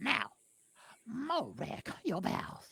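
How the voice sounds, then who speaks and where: A put-on character voice comes through at a fairly high pitch. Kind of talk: wedding ceremony speech. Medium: game stream. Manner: formal, ceremonious.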